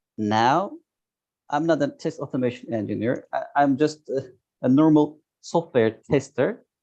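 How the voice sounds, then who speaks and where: A man at a fairly high pitch with a dark, mellow tone, ordinary pitch variation, a moderate pace and long, frequent pauses. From Turkey. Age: 30s. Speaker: software tester. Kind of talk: interview. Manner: halting.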